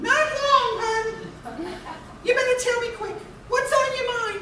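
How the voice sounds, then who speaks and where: A female-sounding put-on character voice is squeaky, with an extremely high pitch. It moves at a moderate pace. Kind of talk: old-time working-class gangster-era slang. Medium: audio drama. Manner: chatty, folksy, calls people hon and dearie.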